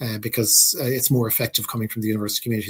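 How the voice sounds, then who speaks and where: A somewhat breathy man speaks with an Irish accent. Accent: Irish, Gaeltacht. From Ireland, Irish-speaking area. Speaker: university president. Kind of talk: Q&A answer.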